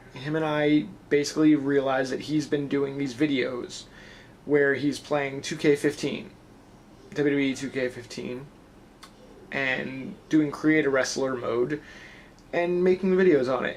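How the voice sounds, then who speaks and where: Mumbled speech at a moderate pace with ordinary pitch variation. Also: man. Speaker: wrestling vlogger and pro wrestler. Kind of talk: casual vlog. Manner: a little mumbly.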